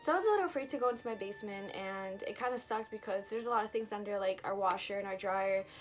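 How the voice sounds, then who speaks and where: With music in the background, a woman speaks at a very fast pace with hardly any pauses. Her pitch is medium, with ordinary variation. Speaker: storytime vlogger. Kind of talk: storytime vlog. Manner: rambling, casual.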